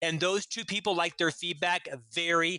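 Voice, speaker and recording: A man speaks loudly at a high pitch with a bright, sharp tone. The sound is dry and close with no echo, over a quiet background. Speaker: business executive and author. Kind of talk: interview. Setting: podcast interview.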